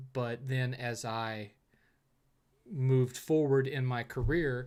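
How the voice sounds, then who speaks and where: A man with a Southern US accent speaks at a medium pitch. He goes at a very slow pace with fairly even intonation. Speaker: streamer answering viewer questions. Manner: casual, conversational.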